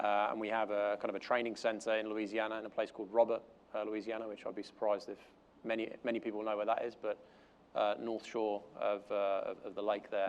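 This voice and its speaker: With a London accent, a man at a fairly low pitch speaks very fast in a monotone, flat intonation. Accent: sounds like he is from London. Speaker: corporate learning and development manager. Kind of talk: conference panel talk. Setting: stage with audience. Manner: hesitant, many fillers.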